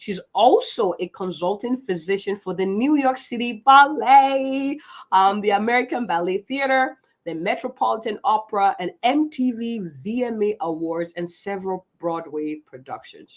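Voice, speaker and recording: Animated and enthusiastic, a woman speaks at a fairly high pitch with lively intonation and a moderate pace. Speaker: physician and live show host. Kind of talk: live stream guest introduction. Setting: Facebook Live video stream. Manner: animated, enthusiastic.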